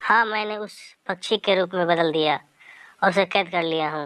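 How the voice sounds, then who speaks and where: Against a quiet background, a female-sounding put-on character voice speaks at a medium pitch and a moderate pace. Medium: audio drama.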